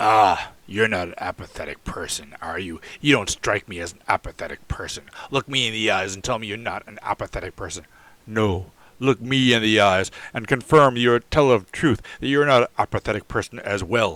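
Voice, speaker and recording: Putting on a character voice, a man speaks at a medium pitch and moderate pace with ordinary pitch variation, the sound dry and close with no echo. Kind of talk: old-fashioned formal speech. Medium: read story. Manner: forceful, demanding.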